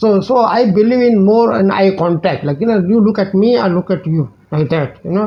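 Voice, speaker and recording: Speaking at a fairly quick pace, a man with a high voice and an Indian accent uses lively intonation. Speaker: teacher and life coach YouTuber. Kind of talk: direct-to-camera channel introduction. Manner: halting, many fillers and repetitions.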